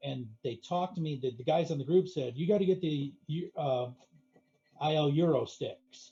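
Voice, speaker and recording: This man's voice sits fairly high in pitch and has a dark, mellow tone, moving at a moderate pace with ordinary pitch variation and long, frequent pauses. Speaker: home arcade hobbyist. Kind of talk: casual chat. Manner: loud.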